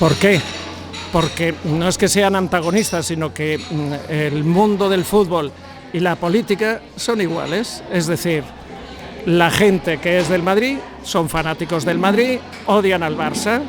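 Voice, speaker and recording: Amid audible room echo and noticeable background noise, a man speaks at a fairly slow pace in a high pitch with ordinary variation. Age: 70s. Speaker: football analyst and coach. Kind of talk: talk to bar audience. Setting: bar gathering with audience.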